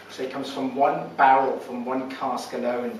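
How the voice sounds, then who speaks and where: Noticeable background noise and audible room echo fill the recording. A man speaks with fairly even intonation. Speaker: whisky tasting presenter. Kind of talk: presentation at a tasting. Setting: tasting event with audience.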